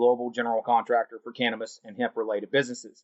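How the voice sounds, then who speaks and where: Speaking at a very fast pace, a man with a Southern US accent keeps his voice at medium pitch. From US South, North Carolina. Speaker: cannabis industry executive. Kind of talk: interview. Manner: casual.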